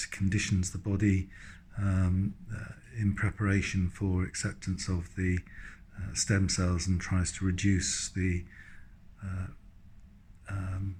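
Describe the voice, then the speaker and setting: A man's very deep, low, somewhat breathy voice in a flat monotone, fairly slow with long, frequent pauses, on a very clean recording with a silent background. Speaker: patient receiving cancer treatment. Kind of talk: video diary talk to camera. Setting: hospital room. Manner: hesitant, many fillers.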